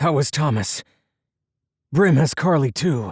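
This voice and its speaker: Doing a raspy put-on character voice, a man pitches it fairly high. He moves at a fairly slow pace with lively intonation. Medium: read story. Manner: terse, urgent.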